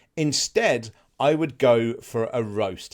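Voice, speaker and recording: On a very clean recording with a silent background, a man with an English accent speaks with ordinary pitch variation. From England. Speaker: travel vlogger. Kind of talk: casual explainer to camera.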